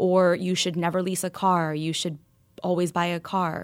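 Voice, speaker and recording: An ordinary speaking voice from a woman at a moderate pace, in a very clean recording with a silent background. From New York and Kentucky. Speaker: financial advisor and founder. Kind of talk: interview.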